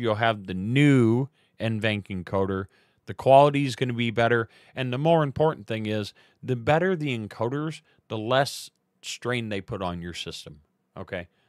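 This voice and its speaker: A man at a moderate pace, with ordinary pitch variation, a dry sound with no echo and a quiet background. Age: 40s. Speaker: live streamer. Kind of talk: tutorial. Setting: live stream from home computer setup. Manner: casual, many filler words. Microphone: studio mic.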